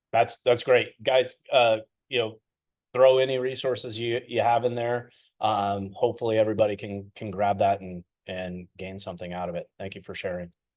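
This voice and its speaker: Over a quiet background, a man in a normal speaking voice of medium pitch talks at a moderate pace with fairly even intonation and big swings in loudness. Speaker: business consultant. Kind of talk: live webinar talk. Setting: online livestream.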